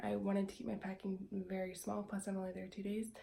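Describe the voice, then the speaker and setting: A woman with a dark, mellow, somewhat breathy tone speaks with audible room echo. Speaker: esthetician and small business owner vlogger. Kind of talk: casual vlog. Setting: bathroom at home.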